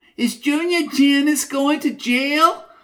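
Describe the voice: In a put-on character voice, the speaker whines at a high pitch and a fairly slow pace.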